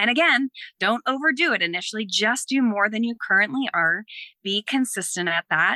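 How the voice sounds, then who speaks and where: This woman has an American accent and a bright, sharp tone, with lively intonation. She speaks at a moderate pace in a dry, close recording with no echo. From US East Coast. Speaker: fitness coach and former Olympic athlete. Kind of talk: casual interview chat.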